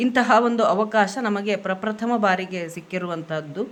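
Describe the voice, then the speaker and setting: Her voice sits at medium pitch with ordinary pitch variation, a woman speaking with a Kannada accent. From Karnataka, India. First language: Kannada (speaking Hindi). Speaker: Yakshagana dance teacher. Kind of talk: video message.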